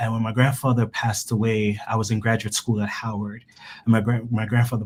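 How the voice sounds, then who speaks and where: A man speaks at medium pitch in a somewhat breathy voice. His intonation stays monotone and flat. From Jamaica. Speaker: cancer researcher. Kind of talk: interview. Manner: halting, many repetitions.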